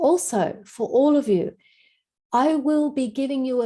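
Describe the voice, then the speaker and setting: A woman with an Australian accent, dark and mellow in tone, at a fairly slow pace with ordinary pitch variation. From Australia, Sydney beach suburbs. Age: 60s. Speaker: health and wellness teacher. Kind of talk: online class. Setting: video call.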